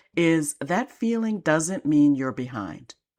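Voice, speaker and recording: Her very deep, low voice swings very widely in pitch. The woman speaks at a fairly slow pace on a very clean recording with a silent background. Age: 60s. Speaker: life and business coach. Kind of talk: podcast monologue.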